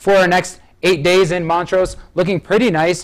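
Fairly quick speech with an American accent against a quiet background. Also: man. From Michigan. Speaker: TV meteorologist. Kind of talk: weather forecast. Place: studio.

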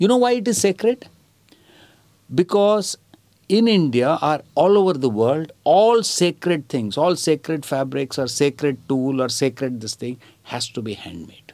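Against a quiet background, a man talks at a moderate pace in a fairly high pitch with very wide pitch swings. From India. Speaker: theatre director and activist; interviewee. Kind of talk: interview answer. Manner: soft-spoken. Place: home room.

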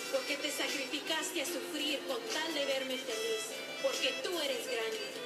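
The speech moves at a fairly slow pace over loud music in the background. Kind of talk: poetry reading dedicated to mothers. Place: home room.

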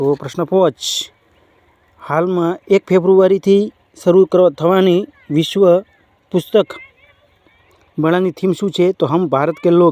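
Recorded dry and close with no echo, a man talks at a high pitch with fairly even intonation. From Gujarat, rural. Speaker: exam coaching YouTuber. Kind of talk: current affairs quiz tutorial.

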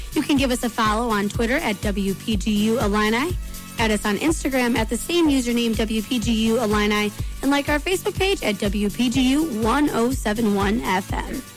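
A fairly high-pitched woman with an American accent, upbeat in tone, at a fairly quick pace, with ordinary pitch variation, very even loudness, a dry sound with no echo, and clear music in the background. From United States. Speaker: college radio DJ. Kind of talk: radio DJ on-air patter. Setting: radio studio broadcast. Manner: upbeat, friendly, casual. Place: studio.

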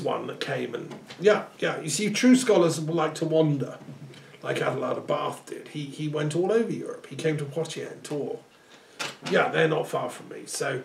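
A high-pitched man at a moderate pace, with audible room echo and light background noise. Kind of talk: one side of a phone conversation. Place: home room.

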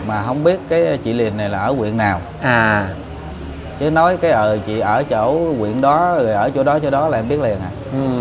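Over noticeable background noise, a man talks at a medium pitch and a moderate pace with lively intonation. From Ca Mau, southern Vietnam; Vietnam. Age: 40s. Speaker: factory worker; interviewee. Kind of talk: interview. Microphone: lapel.

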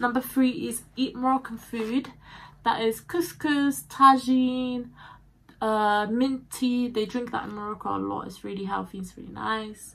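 Her voice high for a woman, a speaker moves at a fairly slow pace with ordinary pitch variation and big swings in loudness. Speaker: vlogger. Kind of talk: casual vlog chat. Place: home room. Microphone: phone near.

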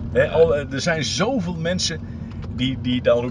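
Over noticeable background noise, a man speaks with lively intonation in a dry sound with no echo. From Drenthe, Netherlands. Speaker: sports reporter. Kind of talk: interview answer. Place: car. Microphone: camera far.

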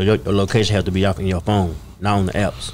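Speaking fast, a man uses a low pitch and a slightly mellow tone, with little pitch movement.

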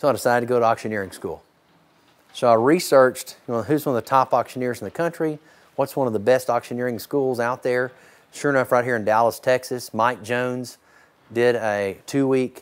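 A man's medium-pitched voice at a fairly quick pace, with fairly even intonation. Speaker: charity auctioneer. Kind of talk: casual storytelling to camera, interview answer. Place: farm machine. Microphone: lapel.

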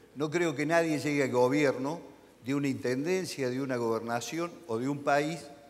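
With an ordinary speaking voice, a man talks fairly slowly at a fairly high pitch with ordinary pitch variation. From Argentina. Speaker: regional politician. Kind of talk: panel discussion. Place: hall.

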